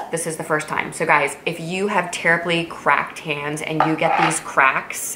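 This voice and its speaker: A woman with a very deep, low pitch speaks in a room with audible echo and noticeable background noise. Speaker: beauty vlogger and physician. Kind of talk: casual product review vlog. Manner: fast; animated.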